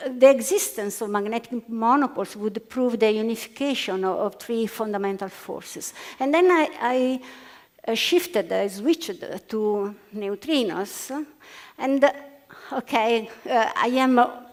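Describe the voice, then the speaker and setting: A woman with an Italian accent, her fairly high voice full of lively intonation at a fairly slow pace. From Italy. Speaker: physicist. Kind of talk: panel debate. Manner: halting.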